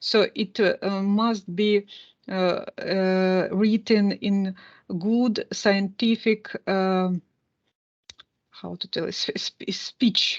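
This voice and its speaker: Speaking with a Russian accent at a very slow pace, a woman keeps a monotone, flat intonation at medium pitch, with long, frequent pauses, a dry, close sound with no echo, and a quiet background. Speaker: university teacher. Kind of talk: lecture. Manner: halting, many fillers.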